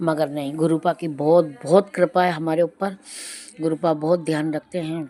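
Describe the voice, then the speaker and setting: Noticeable background noise sits behind a woman's voice. Her pitch is very deep and low, and her intonation monotone and flat. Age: 60s. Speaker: devotional satsang narrator. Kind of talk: devotional testimony. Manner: conversational.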